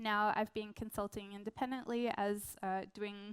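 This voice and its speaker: A woman with an Australian accent speaks at a medium pitch for a woman, her intonation monotone and flat. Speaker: product designer and research consultant. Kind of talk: conference talk. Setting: stage with audience.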